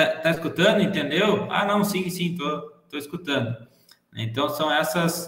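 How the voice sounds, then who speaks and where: A fairly high-pitched man at a fairly slow pace, with ordinary pitch variation and audible room echo. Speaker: teacher. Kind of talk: lecture. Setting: video call.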